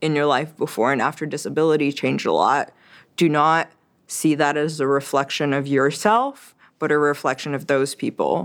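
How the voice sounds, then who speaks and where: The speaker is a woman with a very deep, low pitch. Her intonation is fairly even. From Quebec, then Tennessee. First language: French. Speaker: podcast creator and chronic illness advocate. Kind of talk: casual interview chat.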